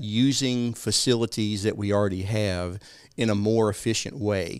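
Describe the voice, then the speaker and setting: On a very clean recording with a silent background, a man speaks at a medium pitch. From East Texas. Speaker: financial advisor and civic group founder. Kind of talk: interview discussing local policy.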